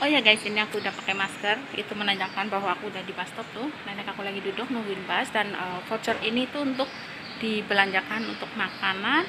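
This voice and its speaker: A woman at a very fast pace, with ordinary pitch variation and noticeable background noise. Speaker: vlogger. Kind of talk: casual vlog chat. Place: street. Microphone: phone near.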